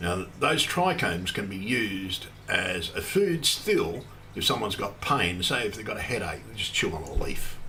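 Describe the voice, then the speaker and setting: Big swings in loudness mark a man's speech in an Australian accent, with audible room echo and noticeable background noise. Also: moderate pace. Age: 50s. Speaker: cannabis activist streamer. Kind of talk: casual livestream monologue. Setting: solo livestream at computer. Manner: rambling, halting.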